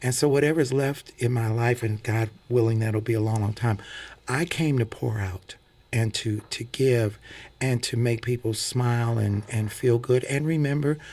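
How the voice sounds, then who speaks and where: A man speaks at a moderate pace in a medium-pitched, somewhat breathy voice with fairly even intonation. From US Midwest (St. Louis). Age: 60s. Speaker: singer and preacher. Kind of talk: radio interview. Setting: radio studio.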